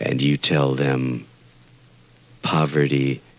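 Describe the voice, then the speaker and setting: A very slow delivery over noticeable background noise. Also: man. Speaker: poet. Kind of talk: poetry reading.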